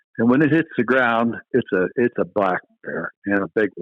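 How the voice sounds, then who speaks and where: A man with a Pennsylvania accent speaks fairly slowly at a medium pitch, his intonation lively. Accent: Pennsylvania American. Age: 60s. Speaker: retired game warden. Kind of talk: casual interview chat. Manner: halting, repeats words.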